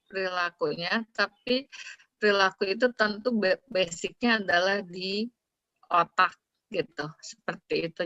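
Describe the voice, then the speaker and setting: A woman speaks with an ordinary speaking voice at a medium pitch and a fairly slow pace. The sound is dry and close, with no echo. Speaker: psychology lecturer. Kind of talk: academic webinar discussion.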